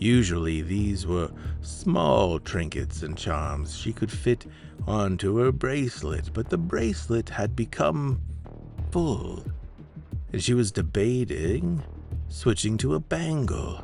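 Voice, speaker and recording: With music in the background, a man of very deep, low pitch speaks at a very slow pace with lively intonation. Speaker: podcast host and story narrator. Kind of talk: horror story narration.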